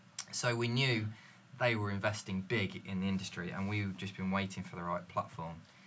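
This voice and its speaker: Fairly quick and fairly low-pitched, a man talks in a normal speaking voice with fairly even intonation. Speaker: sales manager. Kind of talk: casual panel chat.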